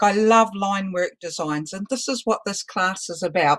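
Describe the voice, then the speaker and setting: Talking at a moderate pace, a woman with a New Zealand accent uses a medium pitch with ordinary variation. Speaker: balloon artist instructor. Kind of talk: online class.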